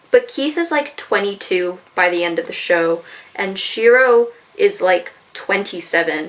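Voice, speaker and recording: Noticeable background noise sits behind a woman speaking at a medium pitch. Her fairly slow speech has very wide pitch swings. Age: 20s. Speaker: youtuber. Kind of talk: video essay. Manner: casual.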